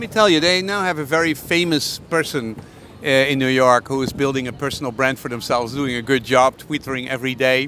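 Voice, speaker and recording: Against noticeable background noise, a man at medium pitch talks at a very fast pace with ordinary pitch variation. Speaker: interviewer. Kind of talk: interview questions. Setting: outdoors.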